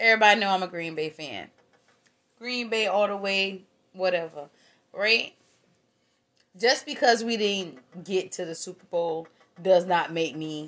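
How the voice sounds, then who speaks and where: Speaking at a medium pitch with ordinary pitch variation, a woman uses an animated tone and big swings in loudness. Her pace is fairly slow, with long, frequent pauses. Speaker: podcast co-host. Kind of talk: casual chat.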